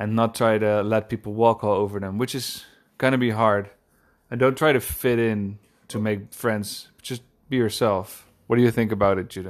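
A man speaks with a Dutch accent at a fairly low pitch and a moderate pace. His intonation is fairly even, and the recording is very clean with a silent background. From Netherlands, Amsterdam. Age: 20s. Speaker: podcast co-host, furniture maker. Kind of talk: casual chat.

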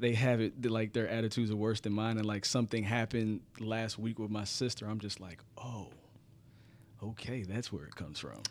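Speaking at a fairly quick pace, a man has a normal speaking voice with fairly low pitch and fairly even intonation. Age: 30s. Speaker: podcast guest. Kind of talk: casual chat.

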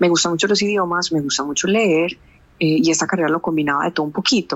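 Speaking very fast, a woman with a Medellín accent uses a very deep, low pitch. Her pitch varies in an ordinary way. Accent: Medellín (paisa). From Colombia, Medellín. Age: 30s. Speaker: corporate finance manager. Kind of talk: interview.

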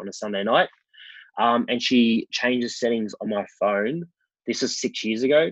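This man has an Australian accent and a medium pitch with ordinary variation. The sound is dry and close, with no echo. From Melbourne, Australia (western suburbs). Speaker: wedding photographer and venue owner. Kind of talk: casual interview.

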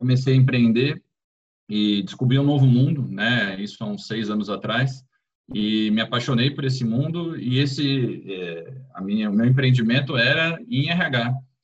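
In an ordinary speaking voice, a man talks at a medium pitch and a fairly slow pace. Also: ordinary pitch variation. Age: 40s. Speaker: HR executive at a fintech. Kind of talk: interview conversation.

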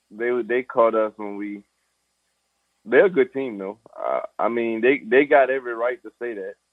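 A man with a Southern Louisiana accent talks at a fairly slow pace. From US South, Louisiana (Thibodaux). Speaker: pro football player. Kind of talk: interview. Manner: casual, informal.

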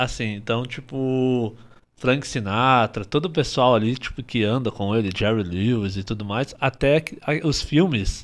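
With a plain, everyday voice, this man talks at medium pitch and ordinary pitch variation, on a very clean recording with a silent background. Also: fairly slow pace. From Paraná, Brazil. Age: 30s. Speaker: dancer and dance teacher. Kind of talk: casual chat.

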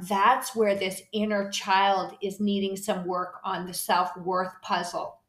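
A woman talks at a fairly slow pace with fairly even intonation and a medium pitch. Audible room echo surrounds her voice. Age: 50s. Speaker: podcast host and health coach. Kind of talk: solo podcast monologue. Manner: casual with frequent fillers.

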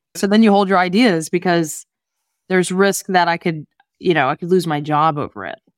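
Delivered at a fairly quick pace with ordinary pitch variation, a normal speaking voice comes through in a very clean recording with a silent background. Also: woman, fairly low pitch for a woman. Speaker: podcast host. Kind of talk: interview conversation.

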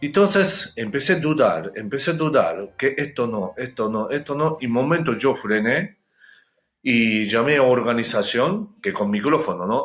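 Speaking at a fairly slow pace with a Japanese accent, a man uses lively intonation at a fairly high pitch. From Japan, Hokkaido. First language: Japanese (speaking Spanish). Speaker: chef and public speaker. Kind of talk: interview. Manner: halting.

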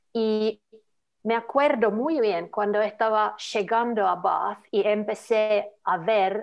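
In a Finnish accent, a woman talks at a very slow pace. Her pitch is fairly high. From Finland, Lapland. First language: Finnish (speaking Spanish). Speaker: social media worker. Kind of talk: interview. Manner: halting.

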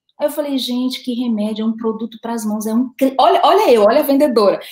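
A dark, mellow tone at a fairly quick pace. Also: woman. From Brazil, Recife (Pernambuco). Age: 40s. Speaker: direct sales business owner. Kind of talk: interview.

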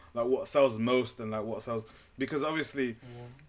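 A man speaks at a medium pitch. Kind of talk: casual chat. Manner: laughs often, hesitant.

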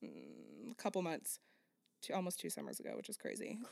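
A woman speaks in a plain, everyday voice at a fairly quick pace. The recording is very clean, with a silent background. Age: 20s. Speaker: podcast co-host. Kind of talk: casual chat.

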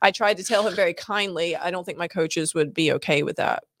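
A woman's fairly low-pitched, fairly even intonation in a normal speaking voice. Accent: American. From Scotland and South Carolina. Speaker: triathlete and local advocate. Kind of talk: casual interview. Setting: studio, in person.

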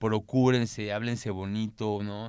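The recording is very clean, with a silent background. A man with a medium pitch speaks fairly slowly in a monotone, flat intonation. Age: 30s. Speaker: content creator. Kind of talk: casual chat.

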